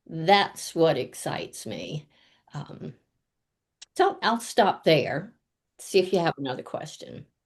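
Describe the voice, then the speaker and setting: A woman speaks at a very slow pace, fairly low in pitch, with long, frequent pauses. Her intonation is lively and her loudness swings widely. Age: 70s. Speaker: life coach. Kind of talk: interview. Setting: video call. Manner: animated.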